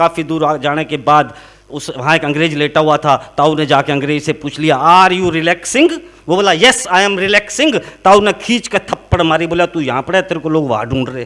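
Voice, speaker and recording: A man with a Haryana accent talks at a moderate pace, his fairly high voice moving with ordinary pitch variation. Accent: Haryanvi. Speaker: comic poet. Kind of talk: comic poetry and jokes on stage before a live audience.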